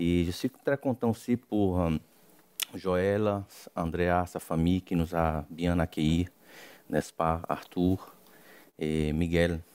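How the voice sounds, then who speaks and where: A man with a Brazilian accent speaks at a very deep, low pitch and a very slow pace. His intonation is fairly even, his loudness very even, and his pauses long and frequent. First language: Portuguese (speaking French). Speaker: missionary preacher. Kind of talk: sermon. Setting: church. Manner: halting.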